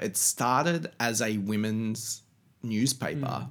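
The speaker is a man with an Australian accent. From Australia (Canberra, then Sydney). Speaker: magazine creative director. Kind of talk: casual interview chat. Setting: home.

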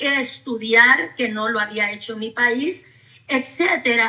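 Speaking very slowly, a woman takes her time with each word. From Honduras. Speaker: pastor. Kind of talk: testimony.

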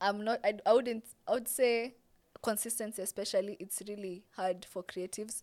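Talking at a moderate pace in a Kenyan accent, a woman has a fairly high pitch, fairly even intonation and big swings in loudness. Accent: Kenyan English, Sheng code-switching. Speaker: TikTok content creator. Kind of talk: casual interview chat.

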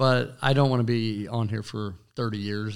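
The recording is very clean, with a silent background. A man speaks with fairly even intonation. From western Kansas, US. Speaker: small business owner and city commissioner. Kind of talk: interview.

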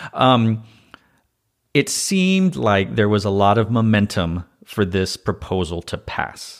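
A plain, everyday voice comes from a man with a fairly low pitch. He speaks at a fairly slow pace with ordinary pitch variation. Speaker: podcast host. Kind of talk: casual interview chat.

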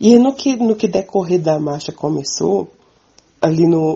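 A woman with an ordinary speaking voice talks at a fairly slow pace with lively intonation. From Minas Gerais, Brazil. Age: 20s. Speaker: farmer and community communicator. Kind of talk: interview testimony.

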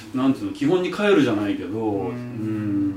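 Over noticeable background noise and audible room echo, a man speaks at a medium pitch with ordinary pitch variation. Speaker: restaurant owner. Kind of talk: casual chat.

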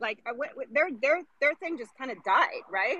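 A woman projects her raised, high voice at a fairly slow pace. Her pitch swings very widely. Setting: outdoors, on a walk.

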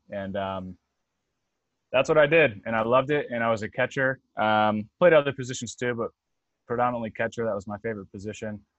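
A man with an American accent talks at a fairly quick clip in an ordinary speaking voice, medium in pitch with ordinary pitch variation, and the sound is dry and close with no echo. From North Carolina, US. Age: 30s. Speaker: fitness coach. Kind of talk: podcast interview. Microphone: connection cutting out.

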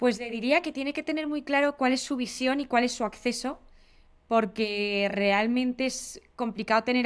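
On a very clean recording with a silent background, a woman with a Spanish accent speaks at a moderate pace with ordinary pitch variation. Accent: Spanish (Spain) Spanish. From Spain. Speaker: venture capital investor. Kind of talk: interview.

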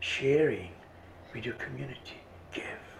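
Whispering at a fairly slow pace, a man is heard in a room with audible echo and noticeable background noise. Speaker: visionary artist and author. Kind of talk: interview.

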